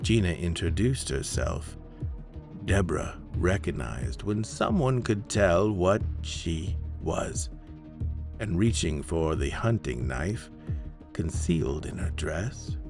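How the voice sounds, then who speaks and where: A man's very deep, low voice at a very slow pace, lively intonation and long, frequent pauses over music in the background. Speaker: podcast host and story narrator. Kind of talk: horror story narration.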